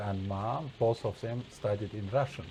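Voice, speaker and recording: Somewhat breathy and dark, mellow in tone, a man's fairly low voice shows ordinary pitch variation. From Azerbaijan and Russia. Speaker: guest. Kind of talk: casual chat. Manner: halting, many hesitations.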